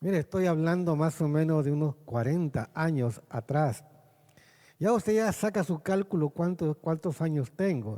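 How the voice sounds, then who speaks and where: Dry, close sound with no echo on a man with a fairly high pitch, a dark, mellow tone, very even loudness and a fairly slow pace. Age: 60s. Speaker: pastor. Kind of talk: sermon.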